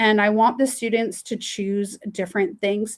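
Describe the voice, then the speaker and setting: In a Canadian accent, a woman speaks with an unremarkable speaking voice and a fairly high pitch. Her pace is fairly slow. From Canada. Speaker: teacher and webinar facilitator. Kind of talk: webinar tutorial. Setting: online webinar.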